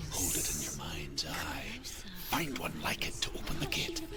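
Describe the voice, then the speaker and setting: A man whispers in a put-on character voice against loud background noise. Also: moderate pace. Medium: short film. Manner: measured, solemn.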